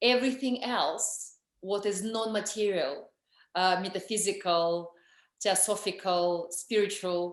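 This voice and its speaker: Against a quiet background, a woman with a strong Russian accent and medium pitch speaks at a fairly slow pace with ordinary pitch variation. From Russia, Moscow. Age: 40s. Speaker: energy healer and author. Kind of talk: interview. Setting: video call.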